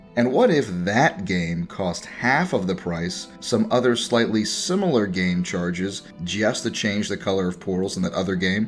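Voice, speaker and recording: Speech at a moderate pace with ordinary pitch variation and music in the background. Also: man. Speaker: streamer. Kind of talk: video game review narration.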